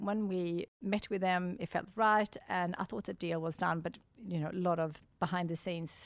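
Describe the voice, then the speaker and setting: On a very clean recording with a silent background, a woman with a Swedish accent speaks with ordinary pitch variation. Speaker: entrepreneur. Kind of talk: interview. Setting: studio. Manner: upbeat, animated.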